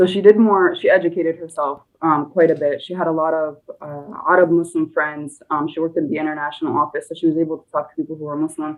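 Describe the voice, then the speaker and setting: A woman with an American accent, fairly low-pitched, very fast, with fairly even intonation and big swings in loudness. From United States, partly Egypt. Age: 20s. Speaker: nurse, podcast guest. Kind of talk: interview conversation. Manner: hesitant with many fillers.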